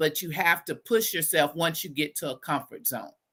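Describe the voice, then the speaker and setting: A woman's fairly low voice with a Texas accent, bright and sharp in tone, at a moderate pace. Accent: Southern US (Texas). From US South, Southeast Texas (Beaumont). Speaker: educator. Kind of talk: podcast interview. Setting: live podcast.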